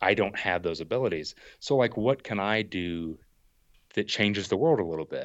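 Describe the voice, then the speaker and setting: In an unremarkable speaking voice, a man talks at a moderate pace with a fairly low pitch and lively intonation. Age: 30s. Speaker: outdoor YouTuber and thru-hiker. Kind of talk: casual chat.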